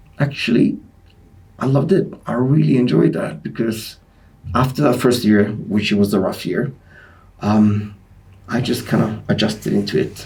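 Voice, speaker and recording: A man with a Greek Cypriot accent, pausing long and often. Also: moderate pace. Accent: Greek Cypriot accent, mocked in the US. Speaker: sport scientist and personal trainer. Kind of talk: podcast interview. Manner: hesitant, many fillers.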